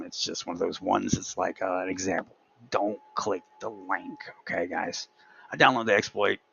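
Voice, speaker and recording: A man delivers his words fairly quickly, with noticeable noise behind him. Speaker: tech video creator. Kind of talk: screen-recorded tutorial walkthrough. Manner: fast; casual, halting with fillers.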